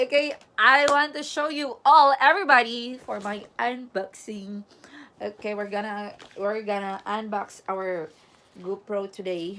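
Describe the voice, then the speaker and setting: With a Filipino accent, a woman speaks at a fairly slow pace in a medium-pitched, bright, sharp voice, her intonation lively and her loudness swinging widely. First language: Tagalog. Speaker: vlogger. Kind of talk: casual vlog unboxing. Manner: animated.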